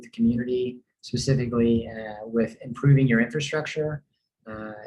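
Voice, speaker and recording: Speaking with a slight Tennessee accent, a man keeps a medium pitch, a moderate pace and a monotone, flat intonation. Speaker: real estate developer representative. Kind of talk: community presentation. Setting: online meeting with screen share. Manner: hesitant, many fillers.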